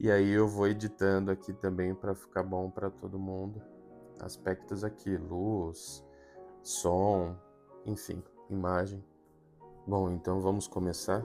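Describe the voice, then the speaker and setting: A man's very deep, low voice at a fairly slow pace, with fairly even intonation, long, frequent pauses, and music in the background. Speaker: audiobook narrator. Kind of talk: casual talk to listeners.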